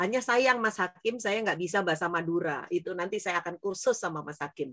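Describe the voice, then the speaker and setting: A woman speaks at a fairly quick pace and medium pitch. Her intonation is lively. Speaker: business speaker. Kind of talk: interview talk to students. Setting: online event. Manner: animated.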